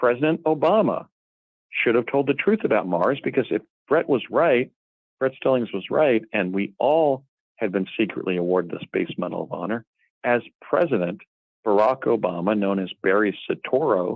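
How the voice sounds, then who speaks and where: A man speaks in a normal speaking voice at medium pitch. His pace is moderate. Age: 60s. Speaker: guest claiming past secret space program. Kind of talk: interview.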